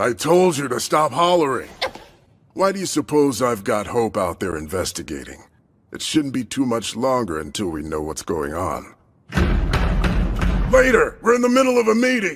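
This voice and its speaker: A man's put-on character voice at medium pitch, with long, frequent pauses and sound effects in the background. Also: moderate pace. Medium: fan dub. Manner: gruff, commanding.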